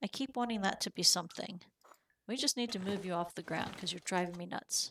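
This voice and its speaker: Medium-pitched woman's voice, fairly quick, with ordinary pitch variation. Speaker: game streamer. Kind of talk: live gameplay commentary. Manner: casual, chatty.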